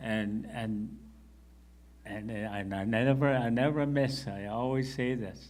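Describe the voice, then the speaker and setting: Audible room echo surrounds a man who speaks very slowly with lively intonation. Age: 60s. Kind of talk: panel discussion.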